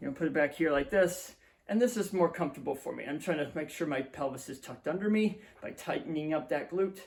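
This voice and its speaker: Man talking at a fairly quick pace with lively intonation. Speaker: physical therapist. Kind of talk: exercise tutorial. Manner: fast.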